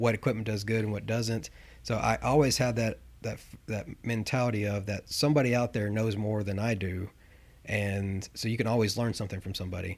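Fairly low-pitched man with a Southern US accent, fairly even intonation and a fairly quick pace, on a very clean recording with a silent background. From Tennessee. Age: 30s. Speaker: equipment rental analytics manager. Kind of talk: interview. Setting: in person at a rental branch.

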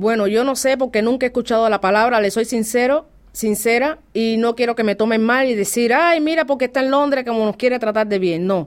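A woman speaks at a fairly quick pace with hardly any pauses, her fairly high pitch varying in an ordinary way and her loudness very even. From Cuba. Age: 40s. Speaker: Cuban immigrant interviewee. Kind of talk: interview. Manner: animated.

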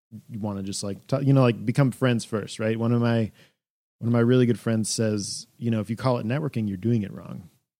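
In a very clean recording with a silent background, a man with an American accent and a dark, mellow tone speaks fairly quickly with fairly even intonation. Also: medium pitch for a man. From Wisconsin, small town. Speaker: composer and sound designer. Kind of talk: casual interview chat.

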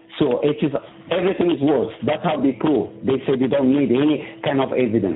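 A man in a Moroccan accent, fairly high-pitched with ordinary pitch variation, at a fairly quick pace with hardly any pauses and very even loudness, over noticeable background noise. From Morocco. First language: Moroccan Arabic. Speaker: prison inmate. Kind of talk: interview testimony. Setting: phone call. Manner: halting.

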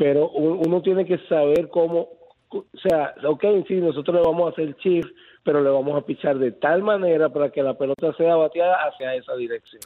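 A man speaks at a moderate pace with ordinary pitch variation in an unremarkable speaking voice. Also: fairly high pitch for a man. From Venezuela. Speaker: former baseball player. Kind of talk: phone interview.

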